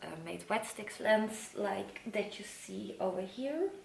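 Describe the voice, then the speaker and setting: Noticeable background noise and audible room echo surround a woman talking at a fairly slow pace. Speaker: plant collector youtuber. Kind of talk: show and tell video.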